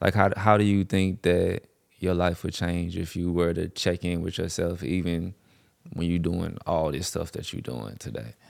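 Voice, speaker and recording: In a very clean recording with a silent background, a man with a very deep, low pitch and vocal fry speaks at a moderate pace with ordinary pitch variation. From St. Louis, Missouri. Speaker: host's childhood friend. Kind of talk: casual chat.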